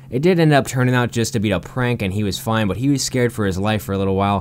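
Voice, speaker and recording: Over noticeable background noise, a man with a medium pitch talks very fast with lively intonation. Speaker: YouTube commentator. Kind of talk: video countdown commentary.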